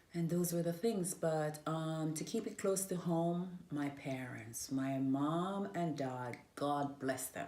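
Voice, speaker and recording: A woman talks very slowly in a very deep, low voice with a dark, mellow tone, with hardly any pauses. The room echo is audible. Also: ordinary pitch variation. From Jamaica (Manchester parish). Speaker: interviewee sharing her life story. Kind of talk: interview.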